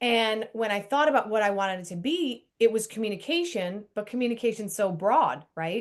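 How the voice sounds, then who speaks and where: Over a quiet background, a woman with an American accent and a fairly high pitch talks at a fairly quick pace in a normal speaking voice. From US. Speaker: Broadway performer and communication speaker. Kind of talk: video call interview.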